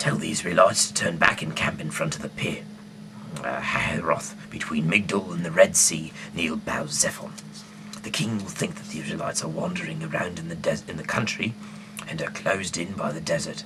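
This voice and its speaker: A man whispers in a put-on character voice at a fairly quick pace. Clear background noise runs behind him. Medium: read story. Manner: authoritative.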